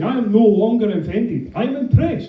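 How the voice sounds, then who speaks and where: Man with a high pitch and a Scottish accent, in audible room echo. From Scotland. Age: 30s. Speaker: comedian. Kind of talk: stand-up.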